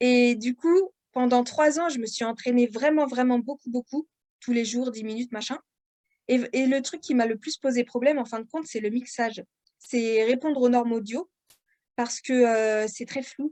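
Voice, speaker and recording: At a high pitch and moderate pace, a woman speaks with a dark, mellow tone and fairly even intonation in a dry, close sound with no echo. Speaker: author and audiobook narrator. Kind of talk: podcast interview. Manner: hesitant, many fillers.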